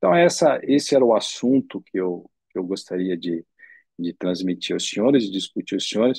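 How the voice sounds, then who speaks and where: Dark and mellow in tone, a man's voice moves with lively intonation, recorded with a dry, close sound and no echo. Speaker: ophthalmologist. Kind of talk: lecture. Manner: halting, with many fillers.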